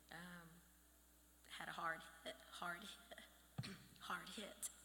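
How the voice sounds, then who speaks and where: Whispering with long, frequent pauses, a woman is heard amid audible room echo. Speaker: bereaved mother, honoree. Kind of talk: acceptance speech. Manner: halting.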